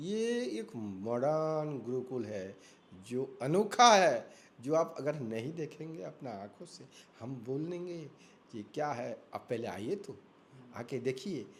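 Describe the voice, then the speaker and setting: A man with a fairly high pitch makes very wide pitch swings and big swings in loudness. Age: 60s. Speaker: elderly devotee and student of scripture. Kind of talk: interview.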